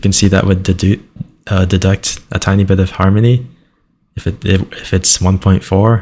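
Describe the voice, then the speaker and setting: A man with a very deep, low voice speaks at a moderate pace in a flat monotone with very even loudness. His tone is dark and mellow, and somewhat breathy. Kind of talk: casual screen-recording commentary.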